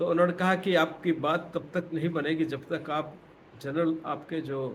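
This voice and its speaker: A somewhat breathy man's voice at fairly high pitch, with fairly even intonation and audible room echo. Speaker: retired professor. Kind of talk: lecture. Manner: halting.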